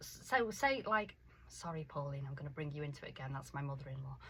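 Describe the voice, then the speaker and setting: A woman's voice with vocal fry swings very widely in pitch. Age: 50s. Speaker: life coach for women. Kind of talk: radio interview. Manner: animated.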